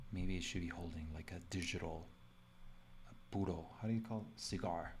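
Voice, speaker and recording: The voice is somewhat breathy, with fairly even intonation, a moderate pace, and light background noise. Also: man, very deep, low pitch for a man. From Mexico. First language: Spanish. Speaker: designer streaming live; designer demonstrating software. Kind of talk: live drawing tutorial; tutorial. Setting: live stream from home computer. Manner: casual, filler-heavy. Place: home room.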